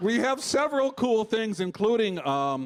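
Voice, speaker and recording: A man with a Chicago accent speaks with very wide pitch swings. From Chicago, US Midwest. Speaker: comedian. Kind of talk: live comedy show banter. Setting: stage with audience.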